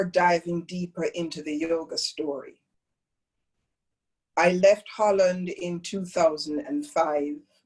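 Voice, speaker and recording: Speaking at a very slow pace, a woman uses a Jamaican accent. Her pauses are long and frequent. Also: big swings in loudness. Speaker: yoga teacher. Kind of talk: talk to a training group.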